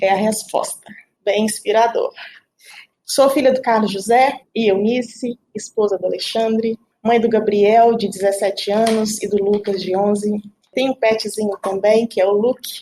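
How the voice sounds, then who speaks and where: A woman with a fairly high pitch and a dark, mellow tone speaks at a fairly slow pace with fairly even intonation. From Belo Horizonte, Minas Gerais, Brazil. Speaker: IT team leader. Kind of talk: podcast panel self-introduction.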